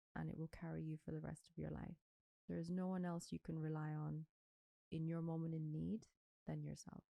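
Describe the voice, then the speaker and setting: A woman talks at a fairly quick pace with a non-native accent, pausing long and often. The sound is dry and close, with no echo. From Ireland. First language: not English. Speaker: anti-aging doctor. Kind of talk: interview.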